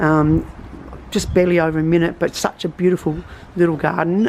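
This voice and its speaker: Amid noticeable background noise, a woman with a very deep, low voice talks at a fairly quick pace with fairly even intonation. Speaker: gardening vlogger. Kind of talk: casual tutorial. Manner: halting, many fillers.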